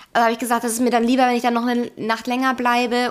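This woman's voice sits high. The recording is very clean and the background silent. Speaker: podcast co-host. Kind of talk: casual chat. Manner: loud.

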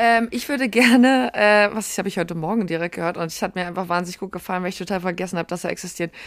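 Speech comes at a very fast pace with hardly any pauses on a very clean recording with a silent background. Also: woman, medium pitch for a woman, ordinary pitch variation. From Berlin. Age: 30s. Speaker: podcast co-host. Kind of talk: casual chat.

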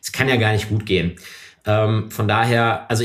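His voice is somewhat breathy as the man moves at a fairly quick pace. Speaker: member of parliament. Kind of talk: interview. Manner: hesitant, many fillers.

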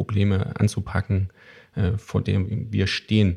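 In a very clean recording with a silent background, a man speaks at a fairly low pitch with a dark, mellow tone and vocal fry. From Thuringia, eastern Germany. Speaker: podcast host, trade journal editor. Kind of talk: casual chat.

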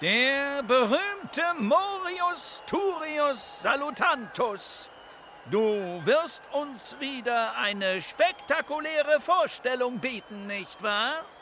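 In a put-on character voice pitched extremely high, a man speaks at a very slow pace with a bright, sharp tone, lively intonation and long, frequent pauses, while faint background noise and faint crowd noise sit behind him.

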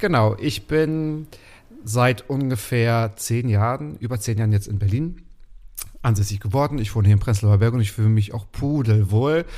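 A man speaks with a dark, mellow tone at medium pitch. His pace is moderate and his pitch variation ordinary. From Mecklenburg, Waren an der Müritz. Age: 30s. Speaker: podcast host as guest. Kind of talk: casual interview chat. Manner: talkative.

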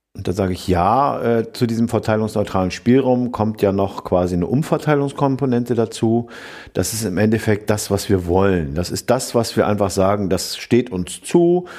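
A man's fairly low, dark and mellow voice with lively intonation at a moderate pace. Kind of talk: casual chat.

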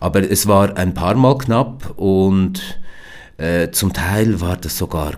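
The man's voice sits very deep and low in pitch. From Switzerland, Biel/Seeland (German-French language border). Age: 50s. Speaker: company founder. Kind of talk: interview. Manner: hesitant, many fillers.

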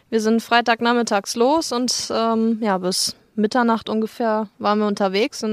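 Recorded very cleanly over a silent background with a dry, close sound and no echo, a woman with an unremarkable speaking voice talks at a fairly high pitch with fairly even intonation. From Germany, Lügde (Lippe region). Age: 20s. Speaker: husky owner, retail worker. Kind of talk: interview. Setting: at her home.

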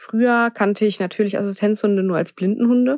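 A woman speaks at a fairly quick pace in an ordinary speaking voice, medium in pitch with fairly even intonation. The sound is dry and close, with no echo. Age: 20s. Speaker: assistance dog owner. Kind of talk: personal testimony.

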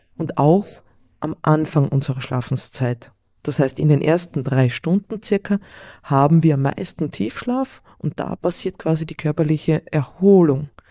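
Speaking with a slight Carinthian accent, a woman with a very deep, low pitch and a dark, mellow tone moves at a fairly slow pace with ordinary pitch variation, the sound dry and close with no echo. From Austria, Carinthia (Villach). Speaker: sleep coach. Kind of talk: interview. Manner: halting.

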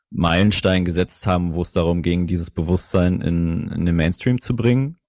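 Against a quiet background, a man speaks at a moderate pace in a very deep, low pitch with a dark, mellow tone. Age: 30s. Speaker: startup co-founder. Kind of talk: interview.

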